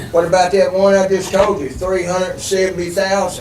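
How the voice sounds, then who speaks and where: Noticeable background noise and audible room echo surround a man's voice. He has a high pitch and speaks at a moderate pace. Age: 70s. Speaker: resident speaking at public hearing. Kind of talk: public comment at city meeting. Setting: public meeting room with microphones. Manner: halting, repetitive; animated.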